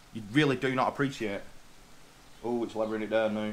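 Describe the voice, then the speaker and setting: A man with an English accent speaks in a bright, sharp tone. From England. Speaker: truck driver vlogger. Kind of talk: casual rant to camera. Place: home room. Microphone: webcam.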